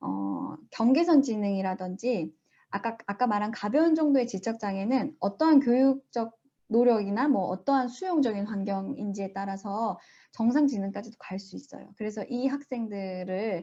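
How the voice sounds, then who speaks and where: A woman speaks at a fairly high pitch and moderate pace, with ordinary pitch variation. Her tone is dark, mellow and somewhat breathy, over a quiet background. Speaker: school principal presenting research. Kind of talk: Q&A at online research presentation.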